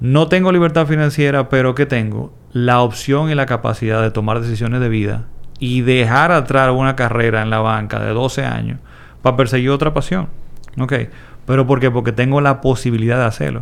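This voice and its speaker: With a plain, everyday voice, a man speaks at a medium pitch and moderate pace with ordinary pitch variation. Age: 40s. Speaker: investment educator. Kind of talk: interview.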